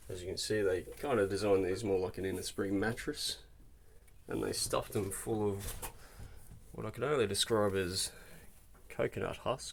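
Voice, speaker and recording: Speaking with an Australian accent, a man keeps a moderate pace. He makes long, frequent pauses. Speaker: car enthusiast vlogger. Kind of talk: casual video walkthrough. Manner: casual with frequent fillers.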